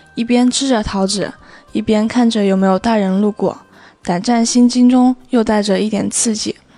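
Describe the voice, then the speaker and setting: A woman's fairly high pitch and monotone, flat intonation at a moderate pace, with music in the background. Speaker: recent high school graduate.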